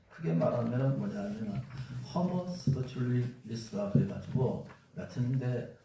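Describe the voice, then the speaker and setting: A man with a strong Gyeongsang accent talks at a moderate pace and medium pitch with lively intonation, with audible room echo and noticeable background noise. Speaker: pastor and university president. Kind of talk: lecture.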